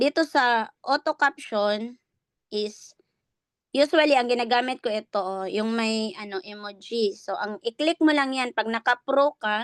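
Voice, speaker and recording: At a fairly high pitch, a woman talks at a fairly slow pace with ordinary pitch variation. The sound is dry and close with no echo, over a quiet background. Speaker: online business coach. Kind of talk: tutorial. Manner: raised voice.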